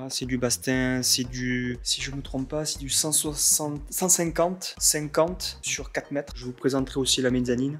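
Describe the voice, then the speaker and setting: Speech at a moderate pace with hardly any pauses and ordinary pitch variation. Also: man, medium pitch for a man. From southern France. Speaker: carpenter and workshop vlogger. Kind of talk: casual vlog walkthrough. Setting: empty concrete workshop. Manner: hesitant, many fillers.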